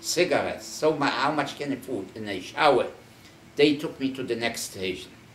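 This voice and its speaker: There is light background noise and audible room echo as a man talks at a moderate pace with ordinary pitch variation. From Poland. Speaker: Holocaust survivor. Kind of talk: oral history interview; interview answer. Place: home room. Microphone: camera far.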